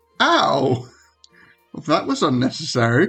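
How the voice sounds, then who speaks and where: Doing a raspy, put-on character voice at a medium pitch, a man talks at a fairly slow pace with faint music in the background. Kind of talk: formal, indignant. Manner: annoyed, oddly verbose.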